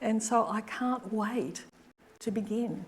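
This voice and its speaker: This woman has an Australian accent and a fairly high pitch. She speaks at a very slow pace. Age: 70s. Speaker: artist. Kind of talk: Q&A after a public lecture. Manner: halting.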